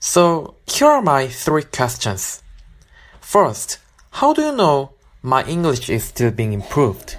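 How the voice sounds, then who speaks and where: Delivered at a very slow pace, the speech comes with a Korean accent. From South Korea. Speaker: listener with a question. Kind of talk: recorded listener question.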